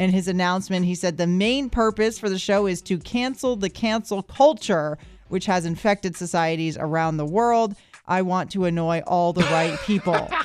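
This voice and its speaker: At a moderate pace, a woman with an ordinary speaking voice lets her pitch vary in an ordinary way. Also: medium pitch for a woman. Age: 30s. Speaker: radio host. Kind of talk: morning radio banter. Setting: radio studio. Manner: upbeat.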